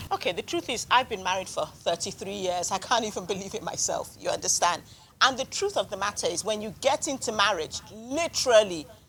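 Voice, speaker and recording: This woman has a normal speaking voice with a fairly high pitch. Her intonation is lively and her pace fairly quick. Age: 60s. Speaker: marriage counsellor and author. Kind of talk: book club panel discussion.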